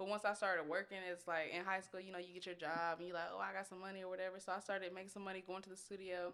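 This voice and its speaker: A woman with an American accent talks at a very fast pace. Her medium-pitched voice has a bright, sharp tone and a monotone, flat intonation. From Austin, Texas. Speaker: rapper. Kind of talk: casual interview chat.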